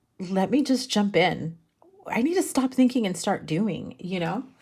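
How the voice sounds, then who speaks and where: Her voice is somewhat breathy. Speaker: tarot reader. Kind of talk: tarot reading monologue. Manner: casual, halting with restarts.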